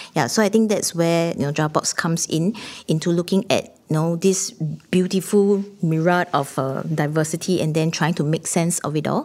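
In a Singaporean accent, the speaker keeps a moderate pace with ordinary pitch variation on a very clean recording with a silent background. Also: woman, fairly low pitch for a woman. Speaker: theatre artistic director. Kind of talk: panel discussion.

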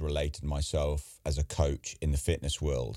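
A man with an English accent speaks at a fairly slow pace in a dark, mellow tone, on a very clean recording with a silent background. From England. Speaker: podcast host. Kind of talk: casual interview.

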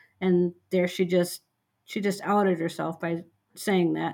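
With an Upper Midwest accent, a woman talks at a moderate pace and fairly low pitch in a very clean recording with a silent background. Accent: Upper Midwest American. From rural western Minnesota. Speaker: medical social worker. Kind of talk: casual chat.

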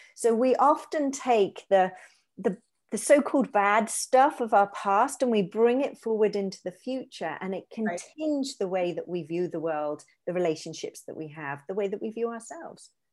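The recording is very clean, with a silent background. A woman speaks at a moderate pace in a fairly high pitch, with very wide pitch swings and big swings in loudness. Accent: British. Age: 40s. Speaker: positive psychologist. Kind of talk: interview, explaining psychology. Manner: hesitant repetitions.

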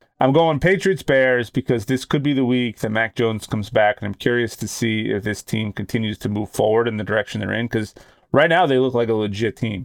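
A man with an American accent talks in a normal speaking voice at medium pitch with ordinary pitch variation. His pace is fairly quick, with hardly any pauses. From Boston. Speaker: sports podcast co-host. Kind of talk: casual chat.

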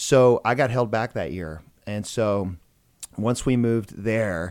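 This is a plain, everyday voice. It has ordinary pitch variation. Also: man. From US South, Georgia (Macon). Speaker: plastic surgeon. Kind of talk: casual interview chat. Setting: studio.

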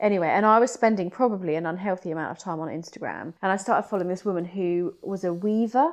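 A woman in a British accent, medium in pitch, at a very fast pace with hardly any pauses and ordinary pitch variation, against a quiet background. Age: 30s. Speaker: art and photography teacher. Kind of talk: casual chat.

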